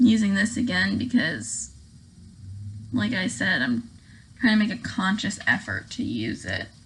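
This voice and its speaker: A calm woman's voice at medium pitch with vocal fry, very wide pitch swings, a fairly slow pace and long, frequent pauses. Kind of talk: casual get-ready-with-me talk to camera.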